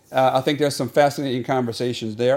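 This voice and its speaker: A man with a medium pitch and an American accent has a plain, everyday voice and fairly even intonation. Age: 50s. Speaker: podcast host. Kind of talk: solo podcast monologue.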